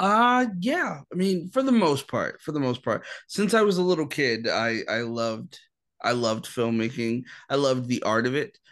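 Against a quiet background, a man with a fairly high pitch speaks at a moderate pace with very wide pitch swings. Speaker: filmmaker. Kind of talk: casual interview.

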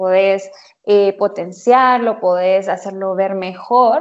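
A woman talks at a very slow pace, her medium-pitched voice holding a fairly even intonation. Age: 20s. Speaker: image consultant and interior designer. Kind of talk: casual chat.

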